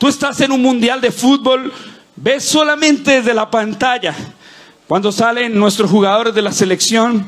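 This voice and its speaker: A man speaks in an animated tone at an extremely high pitch, with ordinary pitch variation and very even loudness. His pace is fairly slow, and there is noticeable background noise. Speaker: pastor. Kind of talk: sermon. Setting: church with live audience. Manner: fervent, rallying preacher voice, rising with call-and-response; animated, cadenced declarations with crowd prompts.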